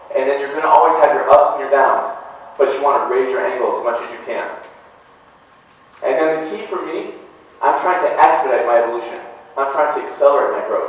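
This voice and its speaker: Over noticeable background noise and audible room echo, a man talks at a fairly quick pace, with long, frequent pauses and big swings in loudness. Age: 40s. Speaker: motivational speaker, real estate agent. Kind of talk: motivational talk. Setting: stage with audience.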